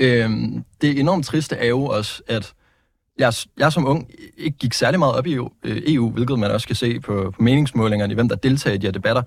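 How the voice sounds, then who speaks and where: With vocal fry and medium pitch, a man speaks at a moderate pace and with ordinary pitch variation on a very clean recording against a silent background. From Denmark, Vejle. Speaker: politician. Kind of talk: political interview. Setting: studio. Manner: halting.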